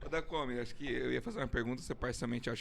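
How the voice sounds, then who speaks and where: A man talks with vocal fry. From Brazil, Londrina, Paraná. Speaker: podcast co-host. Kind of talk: podcast interview.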